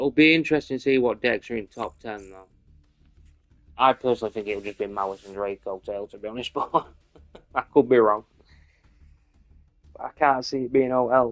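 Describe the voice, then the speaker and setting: Music plays in the background as a man talks with a northern English accent. He leaves long, frequent pauses. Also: medium pitch for a man, ordinary pitch variation, moderate pace, big swings in loudness. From England. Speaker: gaming livestreamer. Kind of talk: casual livestream commentary.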